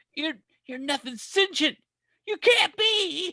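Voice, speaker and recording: Putting on a character voice, a man speaks in an extremely high pitch at a fairly slow pace. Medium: solo performance. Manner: cool, deadpan.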